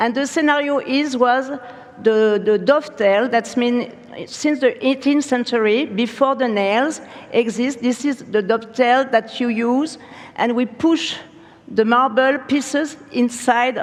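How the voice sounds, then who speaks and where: Ordinary pitch variation in a French accent, over noticeable background noise. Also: woman, high pitch for a woman. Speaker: furniture studio founder and creative director. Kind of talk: conference keynote talk. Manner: halting.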